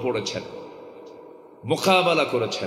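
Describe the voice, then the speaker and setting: A man speaks with ordinary pitch variation. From Dhaka, Bangladesh. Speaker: Islamic preacher. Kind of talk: religious sermon at a public gathering. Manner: emotional, impassioned.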